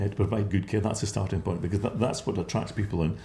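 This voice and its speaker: This man's voice has a dark, mellow tone, somewhat breathy, at a fairly low pitch. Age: 60s. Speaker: care home company founder. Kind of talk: interview. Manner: halting.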